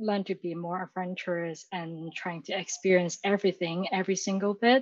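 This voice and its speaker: A woman with a Chinese accent. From Hong Kong. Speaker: university graduate. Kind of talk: interview. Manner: halting.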